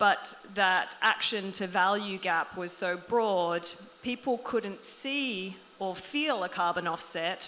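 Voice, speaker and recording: Speaking very slowly in an Australian accent, a woman has a bright, sharp tone and ordinary pitch variation. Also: medium pitch for a woman. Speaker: panelist, loyalty program marketing executive. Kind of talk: panel discussion.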